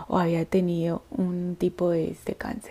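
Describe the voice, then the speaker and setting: In a dark, mellow tone, a woman speaks fairly slowly at a fairly low pitch. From Colombia, Antioquia. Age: 30s. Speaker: podcast host, triathlete. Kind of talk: personal storytelling monologue.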